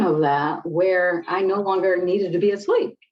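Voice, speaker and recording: A woman with an American accent and an unremarkable speaking voice, medium pitch, ordinary pitch variation and a moderate pace. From US Midwest, Detroit. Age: 60s. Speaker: clinical psychologist and spiritual teacher. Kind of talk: interview.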